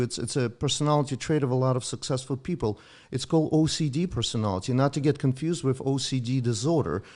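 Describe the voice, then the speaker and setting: Against a quiet background, a man with a Russian accent talks at a very fast pace with hardly any pauses, medium pitch, ordinary pitch variation and very even loudness. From Ukraine (Soviet Union). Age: 50s. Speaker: doctor. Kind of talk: casual chat.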